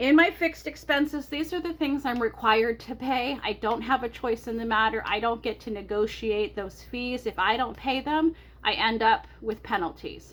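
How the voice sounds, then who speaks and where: A woman speaks loudly with lively intonation at a high pitch. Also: moderate pace, hardly any pauses. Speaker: personal finance vlogger. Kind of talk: budget walkthrough vlog.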